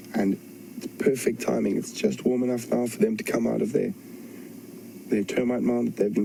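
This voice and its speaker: A soft-spoken man is talking. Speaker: safari guide. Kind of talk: live wildlife commentary. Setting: outdoors.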